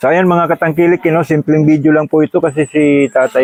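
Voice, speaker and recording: His pitch is fairly high. This man speaks very fast. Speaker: vlogger. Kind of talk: casual vlog. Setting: outdoors by a busy roadside.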